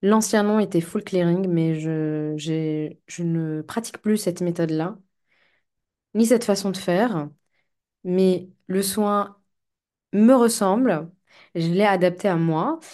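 Her pace is very slow, with long, frequent pauses, against a quiet background. The woman's voice has a dark, mellow tone at medium pitch. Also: ordinary pitch variation. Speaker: life coach and podcaster. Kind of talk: solo podcast monologue. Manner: hesitant, many fillers; calmer when speaking of shamanism.

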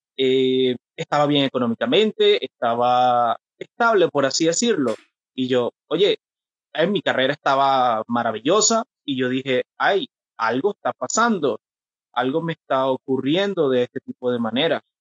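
A plain, everyday voice from a man at medium pitch, fairly slow in pace with lively intonation. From Venezuela. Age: 30s. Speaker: mental health activist. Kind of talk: interview about personal mental health experience.

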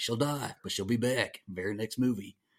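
A man with a plain, everyday voice speaks at a fairly quick pace with a fairly low pitch and an American accent. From US South. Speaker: horror podcaster. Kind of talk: casual chat.

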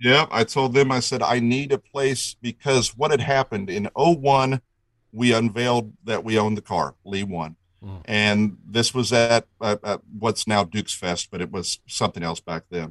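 A man with an unremarkable speaking voice talks at a moderate pace, his medium pitch showing ordinary variation. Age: 40s. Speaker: replica car builder and collector. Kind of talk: interview storytelling.

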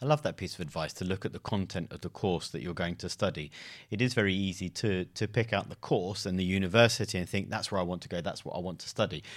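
A man with a London accent, very deep and low in pitch, talking at a very fast pace with ordinary pitch variation in a very clean recording against a silent background. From London, England. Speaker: podcast host, careers advisor. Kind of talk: interview.

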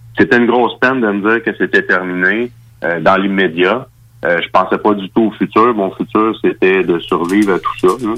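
With music in the background, a man talks in a fairly low pitch. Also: fairly even intonation, moderate pace. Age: 30s. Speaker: MMA fighter. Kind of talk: radio interview.

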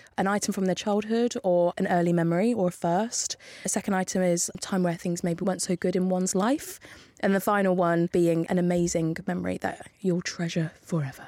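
Speaking at a fairly quick pace in an East Midlands accent, a woman holds a very even loudness, fairly even intonation, medium pitch and a dark, mellow tone. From Northampton, England. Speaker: podcast host. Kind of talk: scripted narration; casual chat. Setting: studio.

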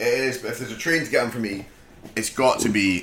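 A man with a Scottish accent talks at a very fast pace with ordinary pitch variation over noticeable background noise. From Scotland. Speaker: podcast co-host. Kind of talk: casual chat.

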